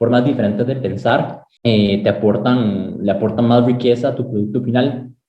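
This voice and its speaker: A man's medium-pitched voice in a Costa Rican accent, with fairly even intonation and a moderate pace. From Costa Rica, San José (Sabanilla, Montes de Oca). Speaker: aerospace engineering student. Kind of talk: interview. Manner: halting, with repetitions.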